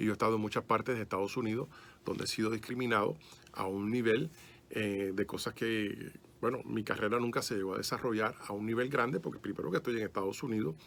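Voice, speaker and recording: A man talks at a very fast pace. His pitch is fairly low, with ordinary pitch variation. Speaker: private detective, ex-police, speaker on esoteric history. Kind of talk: radio interview. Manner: fluent, slightly halting with fillers.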